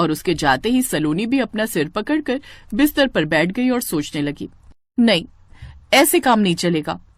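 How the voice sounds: The clip carries a natural reading voice.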